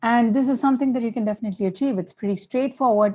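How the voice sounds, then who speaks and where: Against a quiet background, a woman's somewhat breathy voice has a dark, mellow tone and ordinary pitch variation. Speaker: product demo presenter. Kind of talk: webinar product demo. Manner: hesitant with fillers.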